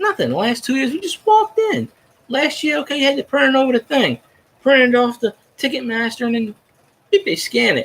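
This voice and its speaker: A man speaks loudly at a fairly quick pace, his pitch extremely high and swinging very widely. The sound is dry and close, with no echo. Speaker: sports fan vlogger. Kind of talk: casual monologue. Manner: rambling, halting with false starts.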